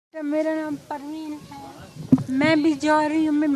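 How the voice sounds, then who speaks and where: A woman with an extremely high pitch, over noticeable background noise. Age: 70s. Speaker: long-term resident being deported. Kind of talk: street interview.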